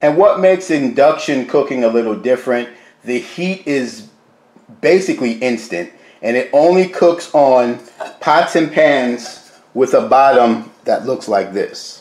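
The speaker is a man going at a fairly slow pace. Audible room echo fills the recording. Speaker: home cooking channel host. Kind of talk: product review tutorial. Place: kitchen. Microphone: phone near.

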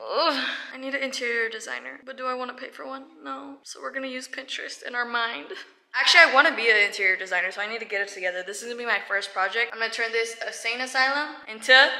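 Talking very fast, a woman uses lively intonation and big swings in loudness. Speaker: vlogger. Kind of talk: casual vlog chat. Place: home room. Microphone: phone near.

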